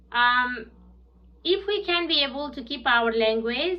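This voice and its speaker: There is audible room echo as a woman speaks at a moderate pace. Her voice is high, with lively intonation. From southern Bhutan (Nepali-speaking). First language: Nepali. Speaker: English language student. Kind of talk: prepared class presentation. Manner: halting with fillers.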